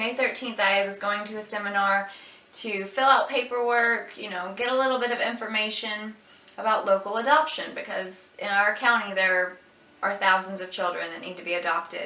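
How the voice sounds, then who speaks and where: A woman's medium-pitched voice at a moderate pace, fairly even in intonation but with big swings in loudness, amid noticeable background noise and audible room echo. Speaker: vlogger sharing personal health story. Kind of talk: personal testimony. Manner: halting, with pauses.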